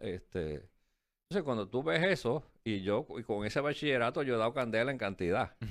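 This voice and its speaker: A man with a Puerto Rican accent speaks at a moderate pace and a medium pitch, with lively intonation. His loudness is very even, on a very clean recording with a silent background. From Puerto Rico. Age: 60s. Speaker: former finance secretary. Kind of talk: interview.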